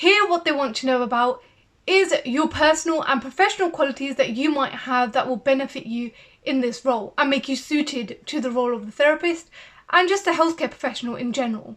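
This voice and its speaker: Speaking at a fairly quick pace with a British accent, a woman uses a high pitch with ordinary pitch variation. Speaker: CBT therapist and video creator. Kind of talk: tutorial. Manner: fast.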